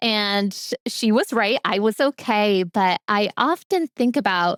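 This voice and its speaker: A woman has an ordinary speaking voice at a medium pitch with ordinary pitch variation. The sound is dry and close with no echo, on a very clean recording with a silent background. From US, Polish immigrant family. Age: adult. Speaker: literacy coach. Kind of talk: personal testimony talk.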